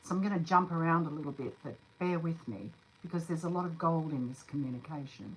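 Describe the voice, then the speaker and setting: A woman's fairly low voice at a very fast pace, against noticeable background noise. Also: ordinary pitch variation. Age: 60s. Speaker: spiritual channeler. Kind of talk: live stream monologue. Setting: live stream, alone. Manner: unpolished, with hesitations.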